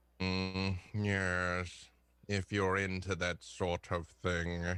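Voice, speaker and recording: The voice is a put-on character voice. It moves at a very slow pace in monotone, flat intonation. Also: man, very deep, low pitch for a man, very clean recording, silent background. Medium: actual play. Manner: dry, sardonic.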